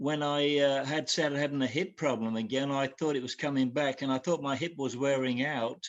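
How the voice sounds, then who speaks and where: Pitched fairly high, a man speaks with an Australian accent. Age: 70s. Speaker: caller. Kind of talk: call-in consultation. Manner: halting.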